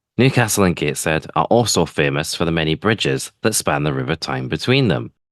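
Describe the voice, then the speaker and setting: Vocal fry runs through this man's very deep, low voice. His pitch swings very widely. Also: fairly quick pace, dry, close sound with no echo. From northeast England (West Monkseaton, near Tynemouth). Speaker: tech podcast host. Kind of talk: scripted narration.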